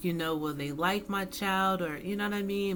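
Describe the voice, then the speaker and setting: A woman's medium-pitched voice with fairly even intonation, plus audible room echo. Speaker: tarot reader. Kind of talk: tarot reading monologue. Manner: casual, conversational.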